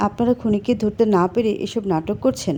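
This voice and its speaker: In a put-on character voice, a woman sounds raspy at a medium pitch. Her pace is moderate and her pitch varies in an ordinary way. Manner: agitated, accusatory.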